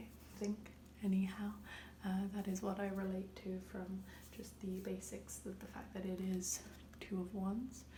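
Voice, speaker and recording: Someone soft-spoken is talking. Noticeable background noise is present too. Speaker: ASMR creator. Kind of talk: soft spoken ASMR tarot reading.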